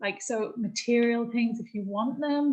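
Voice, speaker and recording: A woman's fairly high, dark, mellow, somewhat breathy voice at a moderate pace, with ordinary pitch variation. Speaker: astrology and spiritual workshop leader. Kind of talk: spiritual workshop talk.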